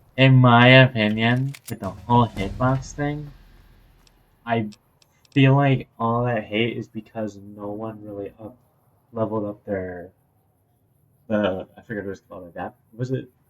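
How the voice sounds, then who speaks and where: Speaking fairly slowly at a medium pitch, a man keeps his intonation fairly even. His loudness swings widely, and long pauses come often. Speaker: podcast co-host. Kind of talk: casual chat. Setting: at home at night. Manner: speaking quietly, softer than usual.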